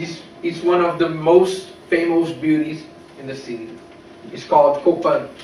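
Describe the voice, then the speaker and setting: A man with a Brazilian Portuguese accent speaks at a fairly slow pace in a high voice, his intonation fairly even. His loudness swings widely, with room echo and noticeable background noise audible. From Brazil, São Paulo. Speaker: English language student. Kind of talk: class presentation speech. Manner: halting, with fillers.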